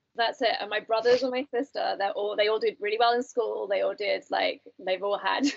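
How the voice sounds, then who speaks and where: This woman has a British accent and a fairly high voice. She talks at a fairly quick pace. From UK. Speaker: recovering alcoholic. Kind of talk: interview answer.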